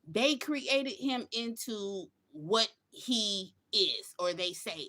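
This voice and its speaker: A woman speaks in a bright, sharp tone with very wide pitch swings. The recording is very clean, with a silent background. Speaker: commentary channel host reacting to a podcast clip. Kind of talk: reaction commentary. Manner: halting, with fillers.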